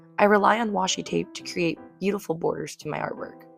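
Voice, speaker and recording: Background music plays through the clip. Over it, a woman talks fairly quickly. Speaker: artist. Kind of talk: casual talk to camera.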